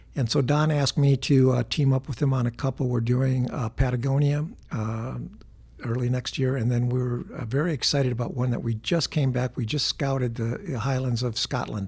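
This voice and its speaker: A man's voice comes across as somewhat breathy. His intonation stays fairly even. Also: medium pitch for a man, moderate pace. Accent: American. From Wisconsin, north of Green Bay. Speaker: sports photographer. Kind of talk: interview.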